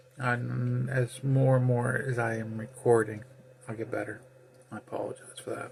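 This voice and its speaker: A man's medium-pitched voice with monotone, flat intonation at a moderate pace, over noticeable background noise. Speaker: ham radio operator and pastor. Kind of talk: casual monologue. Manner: soft-spoken.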